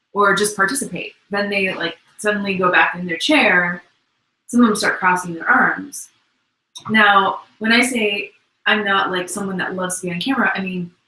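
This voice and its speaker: Medium pitch from a woman at a moderate pace. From grew up in the US, first generation. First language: parents' native language (not English). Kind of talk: casual Q&A chat.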